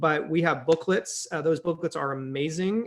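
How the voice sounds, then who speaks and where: Against a quiet background, a man speaks at a moderate pace in an unremarkable speaking voice, his fairly high pitch moving in fairly even intonation. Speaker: pastor. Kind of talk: casual chat.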